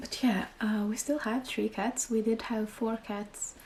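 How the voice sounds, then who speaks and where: A woman speaks at a fairly slow pace and fairly high pitch amid noticeable background noise. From Finland. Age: 20s. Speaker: parent vlogger. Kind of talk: casual talk to camera.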